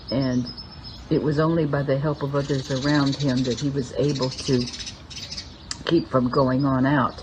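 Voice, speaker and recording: Noticeable background noise accompanies a woman whose very deep, low voice stays monotone and flat at a moderate pace. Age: 70s. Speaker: spiritual teacher. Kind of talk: spiritual talk.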